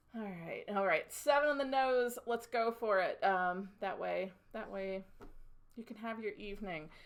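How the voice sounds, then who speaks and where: A woman's fairly high-pitched voice with big swings in loudness. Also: ordinary pitch variation, fairly slow pace. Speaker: design instructor. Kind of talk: tutorial. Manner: gets louder when excited.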